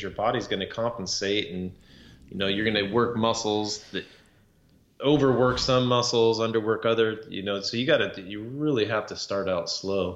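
A man's plain, everyday voice, fairly low in pitch, with fairly even intonation and a moderate pace. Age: 40s. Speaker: podcast co-host, former construction business owner. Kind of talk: casual chat.

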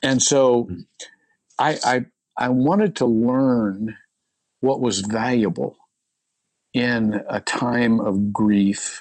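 A man with an American accent speaks at a very slow pace. Long pauses come often. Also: medium pitch for a man, ordinary pitch variation, very even loudness. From US Midwest. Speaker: pastor. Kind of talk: interview.

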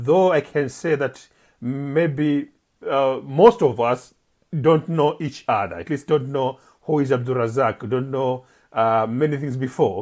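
A man with an East African accent talks at a fairly slow pace. His pitch is fairly high for a man, with ordinary variation. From Zanzibar, Pemba Island. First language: Swahili. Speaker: poet and journalist. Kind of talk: interview. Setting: remote call. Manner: halting.

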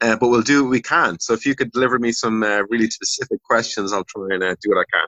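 Very fast and with hardly any pauses, a man talks in an Irish accent with fairly even intonation. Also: medium pitch for a man. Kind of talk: casual chat.

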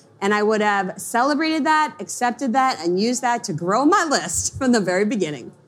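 Speaking with an American accent, a woman moves at a fairly quick pace with hardly any pauses. Her pitch swings very widely. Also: fairly high pitch for a woman. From US Northeast, Long Island. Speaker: marketing coach, entrepreneur. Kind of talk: interview on a conference stage. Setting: stage with audience.

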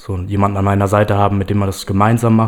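Pitched fairly low, a man's voice moves along at a moderate pace. It stays monotone and flat throughout. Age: 20s. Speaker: startup founder and sport psychology student. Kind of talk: casual chat. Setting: studio.

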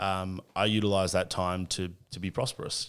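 In a very clean recording with a silent background, a man with an Australian accent speaks in a very deep, low pitch with monotone, flat intonation. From Australia, Cessnock NSW. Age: 30s. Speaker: athlete manager and podcaster. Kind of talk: casual interview.

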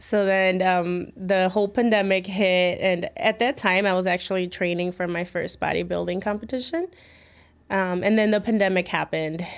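A woman with a Chicago accent talks at a moderate pace and medium pitch, her intonation fairly even, on a very clean recording with a silent background. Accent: Chicago American English. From Chicago, West Town and Midway area. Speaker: personal trainer. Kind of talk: interview.

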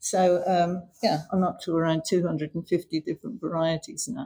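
Somewhat breathy and dark, mellow in tone, a woman speaks at a fairly low pitch. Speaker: mint collector. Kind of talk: interview.

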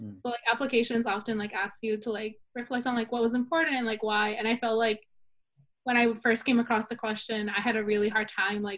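A woman's fairly high, fairly quick voice with an American accent and fairly even intonation. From Salinas, California. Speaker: college student. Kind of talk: interview.

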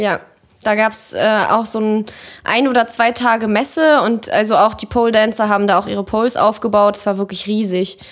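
A moderate pace with fairly even intonation. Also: woman, fairly high pitch for a woman. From Kazakhstan, moved to Germany at six. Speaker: photographer. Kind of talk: casual chat.

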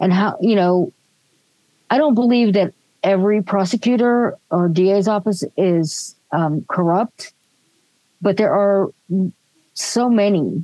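Dry and close with no echo, a woman with an American accent speaks in a dark, mellow tone at medium pitch with ordinary pitch variation. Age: 60s. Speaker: podcast co-host. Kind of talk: casual chat.

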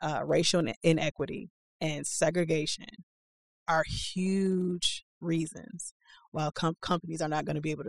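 Her pitch fairly low, a woman speaks at a moderate pace with fairly even intonation, recorded in a dry, close sound with no echo. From Milwaukee, US Midwest. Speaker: executive director of a young professionals group. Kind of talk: interview. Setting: studio.

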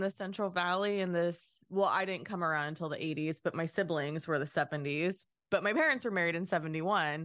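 A woman talks at a fairly quick pace with lively intonation in a normal speaking voice. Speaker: artist and podcaster. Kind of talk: casual conversation.

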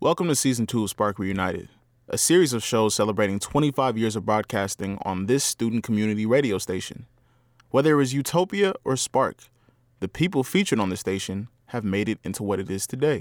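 A man talks at a fairly quick pace with lively intonation, in an ordinary speaking voice of medium pitch. The sound is dry and close with no echo, on a very clean recording with a silent background. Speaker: student radio presenter. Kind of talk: scripted narration.

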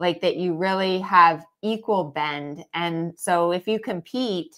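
A woman with an unremarkable speaking voice talks at medium pitch with ordinary pitch variation on a very clean recording with a silent background. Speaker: dressage trainer and podcast host. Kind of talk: live Q&A chat. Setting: Facebook live stream.

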